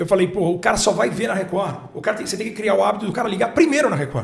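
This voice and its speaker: There is noticeable background noise. A man speaks at a very fast pace. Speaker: sports commentator and broadcaster. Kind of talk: interview answer.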